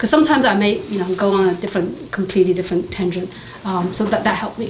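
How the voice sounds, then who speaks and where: A woman talks at a very fast pace over noticeable background noise, with audible room echo. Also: medium pitch for a woman, ordinary pitch variation. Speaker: tech executive. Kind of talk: panel discussion. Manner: halting.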